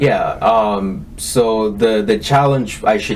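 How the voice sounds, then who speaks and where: A man with a slight Kenyan accent and ordinary pitch variation, over noticeable background noise. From Kenya, moved to US at ten. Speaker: tech entrepreneur. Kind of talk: interview. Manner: hesitant, many fillers.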